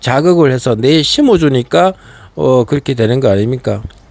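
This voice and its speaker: Background noise is noticeable. Through it, a man talks. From Gangwon Province, South Korea. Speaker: political commentator, YouTuber. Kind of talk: political monologue. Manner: rhetorical, many fillers.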